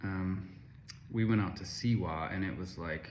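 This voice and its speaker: Speaking at a fairly slow pace in an American accent, a man with a fairly low, somewhat breathy voice uses ordinary pitch variation amid audible room echo. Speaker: travel vlogger. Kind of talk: casual travel review vlog. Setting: self-recorded on camera.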